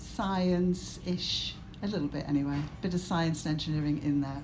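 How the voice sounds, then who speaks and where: Speaking with a Cumbrian accent, a woman keeps a moderate pace. Her voice is somewhat breathy, and the room echo is audible. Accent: Cumbrian, mild. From northern England, Cumbria. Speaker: senior university staff member, engineer. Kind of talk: welcome speech at event launch. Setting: live event with audience. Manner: halting, with repetitions.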